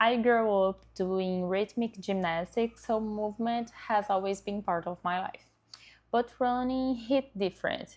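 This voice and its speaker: With a Brazilian accent, a woman speaks at a very slow pace. Her pitch varies in an ordinary way. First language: Portuguese. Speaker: dentist and content creator. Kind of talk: vlog self-introduction. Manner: occasionally halting.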